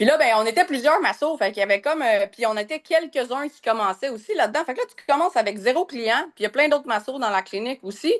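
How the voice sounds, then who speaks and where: At a very fast pace, a woman talks in a high pitch with big swings in loudness, her sound dry and close with no echo. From Quebec, North Shore of Montreal. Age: 40s. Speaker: massage therapist and business coach. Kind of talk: podcast interview. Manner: hesitant, many fillers.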